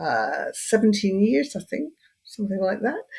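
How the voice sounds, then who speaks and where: Somewhat breathy woman's voice, medium pitch, lively intonation. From Scotland, Edinburgh. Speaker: hypnotherapist and end-of-life doula. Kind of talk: interview conversation.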